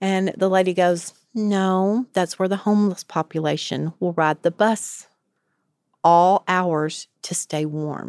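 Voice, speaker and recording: A woman with a Southern US accent talks at a very slow pace and medium pitch, with fairly even intonation. The sound is dry and close, with no echo and a very clean, silent background. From rural West Tennessee. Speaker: addiction treatment clinical director, recovery alumna. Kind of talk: interview, personal testimony. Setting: studio.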